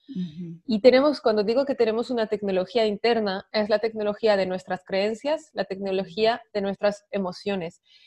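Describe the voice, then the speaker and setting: A woman with a French accent and a medium pitch speaks in a dark, mellow tone at a moderate pace, with hardly any pauses, ordinary pitch variation and a dry, close sound with no echo. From France. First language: French (speaking Spanish). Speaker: women's coach. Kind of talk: interview podcast.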